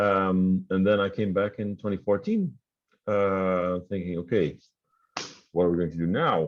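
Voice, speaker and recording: A man with a very deep, low voice talks fairly slowly, with fairly even intonation and long, frequent pauses. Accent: Dutch. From Netherlands. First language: Dutch. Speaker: tech company founder and CEO. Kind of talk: interview. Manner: hesitant, many fillers.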